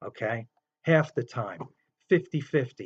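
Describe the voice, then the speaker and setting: With a New York accent and lively intonation, a man speaks at a very slow pace in a fairly high, somewhat breathy voice, the sound dry and close with no echo. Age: 50s. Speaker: gambling commentator. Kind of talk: casual monologue. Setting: in bed.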